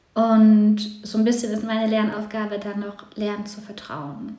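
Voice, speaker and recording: Audible room echo surrounds a woman speaking at a fairly high pitch and a moderate pace. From eastern Germany, then moved west. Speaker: podcast guest, mother. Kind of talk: casual chat.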